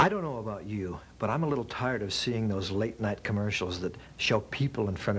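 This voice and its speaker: Speaking at a fairly quick pace, a man has a normal speaking voice with a fairly low pitch. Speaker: spokesperson. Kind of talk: infomercial spokesperson read. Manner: casual, conversational.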